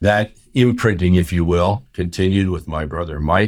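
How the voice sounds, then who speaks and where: A man with an American accent and a very deep, low pitch, ordinary pitch variation and a fairly quick pace, on a very clean recording with a silent background. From US, central New Jersey. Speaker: urology professor. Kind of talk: interview.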